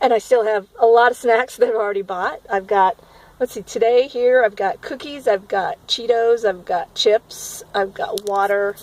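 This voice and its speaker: A woman's fairly high voice at a moderate pace with ordinary pitch variation. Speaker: spiritual vlogger. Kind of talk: personal video diary. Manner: animated.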